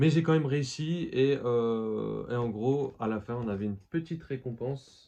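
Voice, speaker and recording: Speaking at a fairly slow pace with hardly any pauses, a man uses a medium pitch, ordinary pitch variation, and a dark, mellow tone. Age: 20s. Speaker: collectibles youtuber. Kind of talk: casual vlog. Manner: hesitant, many fillers.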